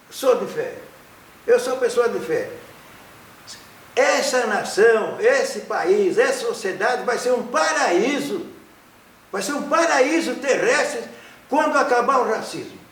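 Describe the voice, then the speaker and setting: A man talks at a very slow pace with long, frequent pauses and an extremely high pitch. Noticeable background noise and audible room echo fill the recording. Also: lively intonation. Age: 80s+. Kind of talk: interview. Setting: studio. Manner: halting with repeated syllables.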